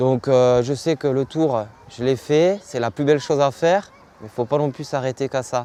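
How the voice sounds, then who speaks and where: In a dark, mellow tone, a man talks at medium pitch and moderate pace with ordinary pitch variation. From southwestern France, Montauban. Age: 20s. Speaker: professional cyclist. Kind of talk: interview. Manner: hesitant, many fillers.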